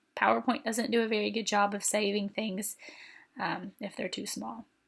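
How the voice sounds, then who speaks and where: A woman's voice with vocal fry on a very clean recording with a silent background. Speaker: teacher. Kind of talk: tutorial. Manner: casual, conversational.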